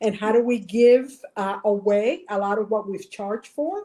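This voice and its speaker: The speaker has a Spanish accent and ordinary pitch variation. The tone is dark and mellow. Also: woman. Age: 60s. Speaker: nonprofit consultant. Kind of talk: live webinar interview. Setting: video call. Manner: halting, many fillers.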